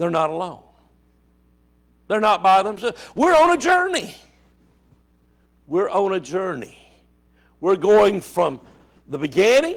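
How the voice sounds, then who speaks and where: A high-pitched man with an Alabama accent, very wide pitch swings, a fairly slow pace and long, frequent pauses. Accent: Southern US (Alabama). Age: 70s. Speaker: Bible study teacher. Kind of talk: Bible study lesson. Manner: conversational, repetitive.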